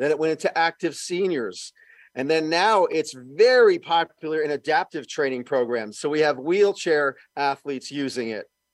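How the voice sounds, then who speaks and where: With a normal speaking voice, a man talks at a moderate pace and fairly high pitch with lively intonation, in a very clean recording with a silent background and a dry, close sound with no echo. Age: 60s. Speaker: fitness equipment inventor and former personal trainer. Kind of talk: casual interview.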